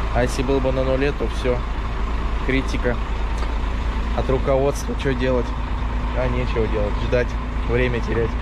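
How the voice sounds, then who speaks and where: The sound is dry with no echo as a man speaks at a moderate pace, leaving long, frequent pauses, with loud background noise behind him. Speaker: truck driver vlogger. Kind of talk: casual vlog chat. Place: station. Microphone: phone near.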